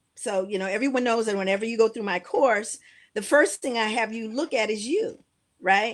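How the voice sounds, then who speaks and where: A woman's fairly high, fairly quick delivery in an ordinary speaking voice, with ordinary pitch variation. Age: 60s. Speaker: educator and speaker. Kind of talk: casual chat.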